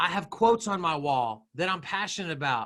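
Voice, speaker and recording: Loud and bright, with a sharp tone, a man speaks at a moderate pace. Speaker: social media trainer for realtors. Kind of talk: webinar presentation. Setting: video call. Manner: animated.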